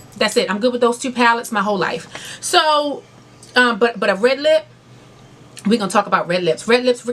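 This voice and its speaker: This woman has a fairly high pitch and lively intonation, moving at a fairly quick pace with long, frequent pauses. Noticeable background noise sits behind her. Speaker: beauty and lifestyle YouTuber. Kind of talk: casual vlog talk to camera. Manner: fast; loud.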